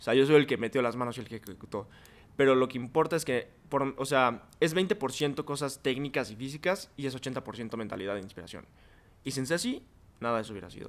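In a plain, everyday voice, a man at medium pitch speaks at a fairly quick pace with ordinary pitch variation and big swings in loudness. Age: 20s. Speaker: podcast guest. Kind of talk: casual chat.

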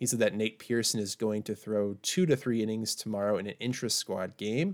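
A man with a Canadian accent talks at a moderate pace in a normal speaking voice, his medium pitch following fairly even intonation. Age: 20s. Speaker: baseball podcast co-host. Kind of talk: casual chat. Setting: remote recording from home.

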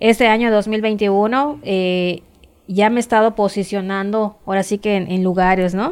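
A woman talks in an ordinary speaking voice at medium pitch. Her pace is fairly slow. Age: 40s. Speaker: amateur cyclist. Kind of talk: interview.

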